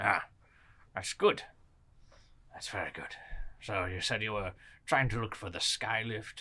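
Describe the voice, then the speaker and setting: A man uses a put-on character voice, fairly low and fairly even in intonation, at a moderate pace. His loudness swings widely, and he leaves long, frequent pauses. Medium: actual play. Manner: formal, old-fashioned politeness.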